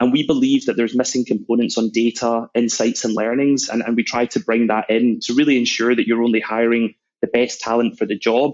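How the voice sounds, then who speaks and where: This voice moves at a fairly quick pace with a Scottish accent and a monotone, flat intonation. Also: man. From Scotland, Glasgow. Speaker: sales executive. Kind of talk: podcast interview.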